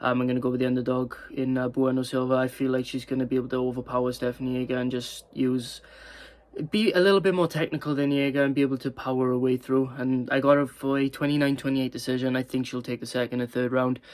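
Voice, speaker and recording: Very fast, monotone male speech with a Welsh accent and medium pitch, flat throughout. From Wales. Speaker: MMA YouTuber. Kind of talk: casual fight predictions monologue. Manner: hesitant, many fillers and stumbles.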